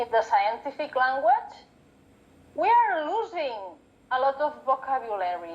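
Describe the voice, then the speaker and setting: In a Catalan accent, a woman speaks high and at a fairly slow pace, her pitch swinging very widely, with long, frequent pauses and noticeable background noise. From Catalonia, Spain. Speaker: book and paper conservator. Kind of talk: casual interview chat.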